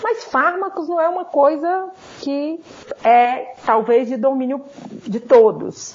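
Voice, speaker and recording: Lively intonation in a northeastern Brazilian accent comes through over noticeable background noise. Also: woman. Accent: northeastern Brazilian (Ceará). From Ceará, Brazil. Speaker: pharmacology professor. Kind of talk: interview.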